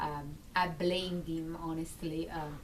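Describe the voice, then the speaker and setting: A woman with an Italian accent speaks at a fairly low pitch, with audible room echo. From Italy, Naples. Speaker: military spouse. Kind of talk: personal testimony. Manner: halting, many fillers.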